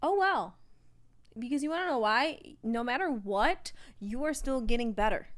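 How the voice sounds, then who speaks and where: The voice is loud and animated, with very wide pitch swings. It moves at a moderate pace with long, frequent pauses. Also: woman, high pitch for a woman. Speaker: podcast co-host. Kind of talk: casual chat.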